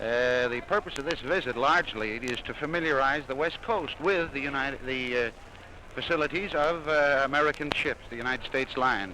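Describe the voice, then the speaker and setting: Over noticeable background noise, a man speaks at a fairly quick pace with fairly high pitch and ordinary pitch variation. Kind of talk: interview answer.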